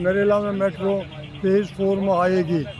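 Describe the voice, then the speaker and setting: A man with a high pitch speaks in a flat monotone, with audible room echo and noticeable background noise. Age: 80s+. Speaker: campaign coordinator, protester. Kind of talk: street interview.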